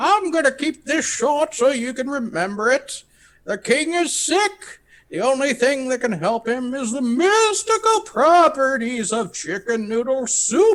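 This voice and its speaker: Fairly slow, extremely high-pitched put-on character voice from a man. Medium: actual play. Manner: brusque, impatient.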